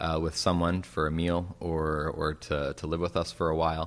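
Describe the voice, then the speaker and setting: In a very clean recording with a silent background, a man speaks in a very deep, low voice with flat, monotone intonation. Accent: Western Canadian. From Western Canada. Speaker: pastor and author. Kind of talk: interview.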